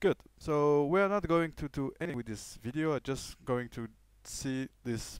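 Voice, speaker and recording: On a very clean recording with a silent background, a man speaks with lively intonation. His pace is fairly slow. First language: French. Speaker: programming tutor. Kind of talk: tutorial. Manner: halting, many fillers.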